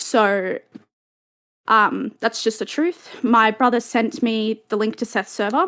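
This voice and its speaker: A woman with an Australian accent speaks at a fairly high pitch. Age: 20s. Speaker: alleged victim telling her story. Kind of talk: testimony. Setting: online voice chat stage. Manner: halting, many fillers.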